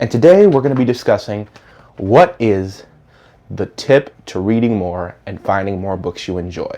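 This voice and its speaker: A man talks with lively intonation and a dark, mellow tone, his loudness swinging widely. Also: fairly low pitch for a man, moderate pace. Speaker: book reviewer. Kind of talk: casual talk to camera. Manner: stuttering.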